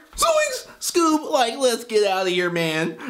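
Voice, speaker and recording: The speaker uses a put-on character voice with a fairly high pitch. The delivery is fairly slow. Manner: cartoon character impression.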